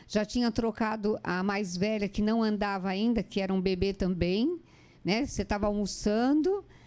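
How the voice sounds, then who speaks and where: A dark, mellow tone at a moderate pace, with ordinary pitch variation and very even loudness. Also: woman, medium pitch for a woman. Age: 60s. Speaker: interviewer. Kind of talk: interview conversation. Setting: online live stream.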